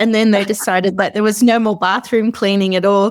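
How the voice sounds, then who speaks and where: In a very clean recording with a silent background, a woman with a fairly high pitch speaks in an Australian accent. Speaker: short-term rental host and founder. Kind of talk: interview. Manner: casual, hesitant with fillers.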